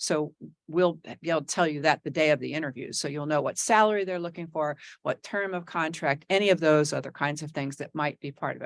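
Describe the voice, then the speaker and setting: A woman talks at a very fast pace with an American accent and very deep, low pitch. Her intonation is fairly even, and the sound is dry and close with no echo. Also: quiet background. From New Jersey. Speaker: executive search consultant. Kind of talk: presentation to school board. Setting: board meeting.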